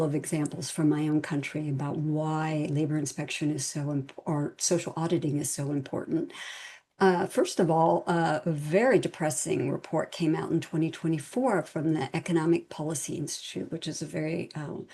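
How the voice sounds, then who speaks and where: A woman in an American accent, fairly low-pitched with a dark, mellow tone, at a moderate pace over a quiet background. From United States. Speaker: international labour organisation expert. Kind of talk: webinar presentation. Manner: frequent fillers (um, uh).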